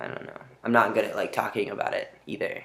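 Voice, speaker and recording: At a moderate pace, the man delivers his words. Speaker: vlogger. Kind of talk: video diary. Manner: monotone; hesitant, many fillers.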